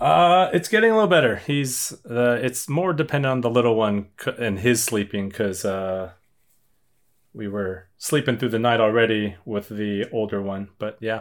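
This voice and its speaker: This is an unremarkable speaking voice on a very clean recording with a silent background. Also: man, medium pitch for a man, ordinary pitch variation, moderate pace. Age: 30s. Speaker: bar trivia host. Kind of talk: casual chat.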